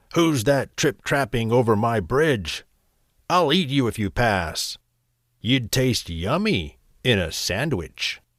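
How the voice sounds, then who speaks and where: A man's croaky, put-on character voice at medium pitch, fairly slow in pace, on a very clean recording with a silent background. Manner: threatening.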